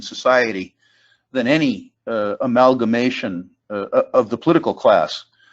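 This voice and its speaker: Speaking with an American accent, a man uses medium pitch and ordinary pitch variation. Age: 60s. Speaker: investment panelist. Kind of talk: panel discussion. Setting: conference call. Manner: halting.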